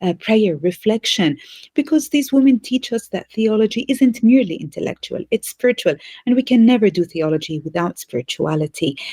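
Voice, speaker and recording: A woman speaks fairly quickly at a fairly high pitch, somewhat breathy with a dark, mellow tone and very wide pitch swings, in a dry, close sound with no echo. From Bethlehem, Palestine. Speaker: theology professor. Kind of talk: interview answer.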